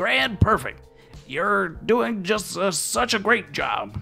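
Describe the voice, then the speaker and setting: Over clear music in the background, a man uses a put-on character voice at a high pitch and a very slow pace. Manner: praising, encouraging.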